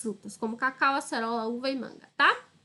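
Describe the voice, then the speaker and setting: In a northeastern Brazilian accent, a woman speaks in a raised, projected voice. Her tone is bright and sharp. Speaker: school teacher. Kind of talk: online lesson. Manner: casual, explanatory with frequent 'tá?'.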